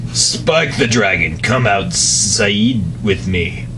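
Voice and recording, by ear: A man's put-on character voice, fairly low in pitch, at a very slow pace over loud background noise.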